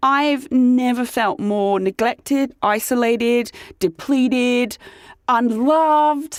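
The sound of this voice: A woman speaks very slowly in a dramatic tone, at a fairly high pitch with ordinary pitch variation.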